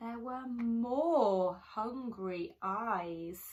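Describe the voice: Very slowly, a woman speaks in a fairly high pitch with a slightly mellow tone and ordinary pitch variation.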